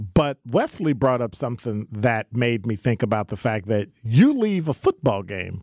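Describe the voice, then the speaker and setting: A man with an American accent talks in a normal speaking voice at a medium pitch, fairly slowly and with lively intonation. The sound is dry and close, with no echo. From US Midwest. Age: 60s. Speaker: radio talk show co-host. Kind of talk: talk radio conversation. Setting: studio.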